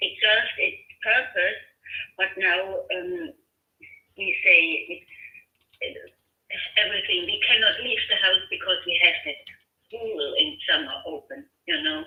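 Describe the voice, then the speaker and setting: A woman with a German accent at a fairly slow pace, with long, frequent pauses. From Germany. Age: 50s. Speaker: homeowner receiving a cold call. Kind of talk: phone conversation. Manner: hesitant, many fillers.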